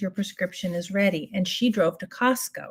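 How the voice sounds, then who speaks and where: Some breathiness runs through this voice, whose pitch moves in a typical way. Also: woman. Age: 60s. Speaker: beauty livestreamer. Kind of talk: casual makeup tutorial with storytelling. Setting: live stream. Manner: chatty, animated.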